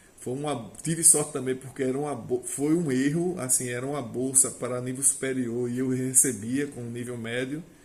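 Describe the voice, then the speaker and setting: Using a plain, everyday voice, a man talks at a medium pitch and an unhurried, moderate speed. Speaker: agricultural technician and vine grower. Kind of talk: casual monologue to camera.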